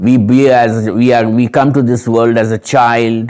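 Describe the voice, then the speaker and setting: This is a man speaking. He talks with a Nepali accent. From Kolkata, West Bengal, India. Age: 60s. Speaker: Buddhist community member. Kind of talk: interview.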